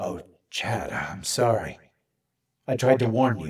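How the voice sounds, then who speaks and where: A man's put-on character voice, soft-spoken and raspy, at medium pitch and a fairly slow pace, with a sad tone. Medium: read story. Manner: sad, soft, apologetic.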